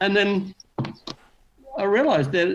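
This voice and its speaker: With a New Zealand accent, a man talks in lively intonation while noticeable background noise carries on behind him. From New Zealand, Auckland. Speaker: beginner harmonica player. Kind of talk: interview. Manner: fast, mumbles when tired.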